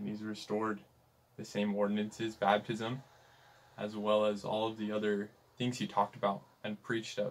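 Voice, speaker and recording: With a Western US accent, a man speaks in a fairly low, monotone, flat voice at a moderate pace with long, frequent pauses. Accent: US Western American. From Utah. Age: young. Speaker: missionary; podcast guest. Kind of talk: interview conversation. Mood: earnest, sincere. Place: home room.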